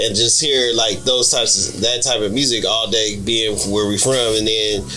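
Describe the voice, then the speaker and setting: A man with an American accent at a medium pitch, moderate pace, fairly even intonation and very even loudness, with audible room echo and music in the background. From US West Coast. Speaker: podcast co-host. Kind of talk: casual chat.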